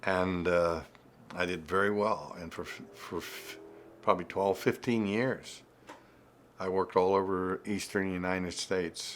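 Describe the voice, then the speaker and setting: The speaker has an American accent and a monotone, flat delivery. The pace is moderate. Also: man. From central western Pennsylvania. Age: 80s+. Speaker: life coach and mentor. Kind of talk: interview answer.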